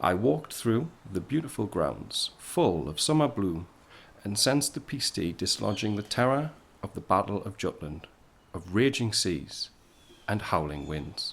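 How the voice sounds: Using a put-on character voice, a man speaks at a fairly low pitch and a fairly slow pace, with vocal fry, a slightly husky edge and big pitch swings.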